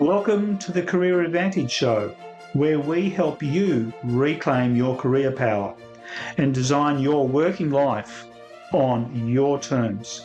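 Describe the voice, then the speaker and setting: Music plays in the background as a man with a fairly high pitch speaks at a very slow pace. His intonation is lively while his loudness stays very even. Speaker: podcast host. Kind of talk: podcast intro.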